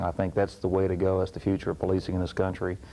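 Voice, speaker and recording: Very deep and low, the man's voice has a dark, mellow tone. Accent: slight Texas. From Texas, Houston. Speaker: police chief. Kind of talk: interview. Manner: hesitant, many fillers.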